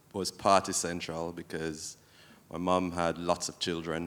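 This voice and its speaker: A man with a very deep, low pitch speaks in a monotone, flat intonation on a very clean recording with a silent background. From Jamaica (Saint Thomas). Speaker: former radio host and selector. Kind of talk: panel discussion.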